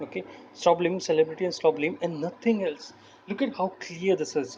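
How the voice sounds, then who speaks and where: A man with a non-native accent speaks in a high voice at a moderate pace with ordinary pitch variation. Noticeable background noise is present. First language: not English. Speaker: political commentary youtuber. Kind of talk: screen-recording commentary. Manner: halting.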